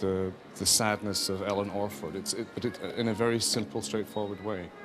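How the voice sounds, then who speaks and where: A man speaks at a fairly quick pace with a fairly low pitch and ordinary pitch variation, with audible room echo and music in the background. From Scotland, Edinburgh. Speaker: opera conductor. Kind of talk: interview. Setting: backstage at opera house, outside orchestra pit.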